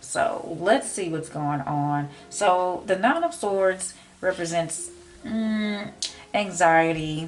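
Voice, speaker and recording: A woman with an American accent at a very slow pace, ordinary pitch variation, music in the background. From Memphis, Tennessee. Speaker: tarot reader. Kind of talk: tarot reading talk to camera.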